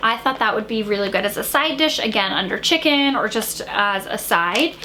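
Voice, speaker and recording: Over noticeable background noise, a woman speaks at a moderate pace in an animated tone. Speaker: lifestyle vlogger. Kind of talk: casual chat.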